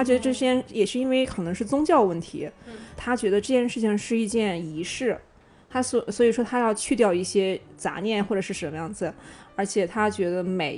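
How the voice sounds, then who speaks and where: A woman talks at a moderate pace with lively intonation and a fairly high pitch. It is an ordinary speaking voice. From Shandong, China. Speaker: podcast guest. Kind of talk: casual chat.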